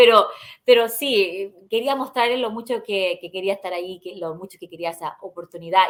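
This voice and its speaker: A woman at a medium pitch and moderate pace, with big swings in loudness. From Ohio, US (born in Chile). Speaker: journalist. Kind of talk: interview. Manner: halting, with repetitions.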